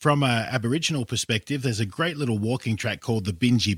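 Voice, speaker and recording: A man with an Australian accent speaks at a fairly quick pace in a somewhat breathy voice with ordinary pitch variation. The recording is very clean, with a silent background. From Sydney western suburbs, Australia. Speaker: travel expert. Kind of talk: casual interview. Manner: hesitant, repeats words.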